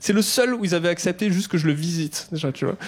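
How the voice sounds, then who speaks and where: Over noticeable background noise, a man speaks at a very fast pace in a high voice with ordinary pitch variation. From southwest France, near Toulouse. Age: 30s. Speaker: stand-up comedian. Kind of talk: stand-up. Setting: stage with audience. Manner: casual, conversational.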